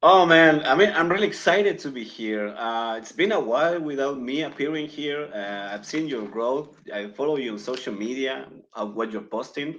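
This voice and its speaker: With a Chilean accent, a man talks at a fairly high pitch and moderate pace, using lively intonation and big swings in loudness, with hardly any pauses. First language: Spanish. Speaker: podcast guest. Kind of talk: casual chat.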